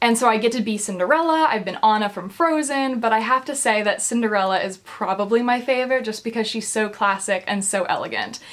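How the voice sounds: A woman speaks at a fairly quick pace with few pauses. Her pitch is fairly high and varies in an ordinary way.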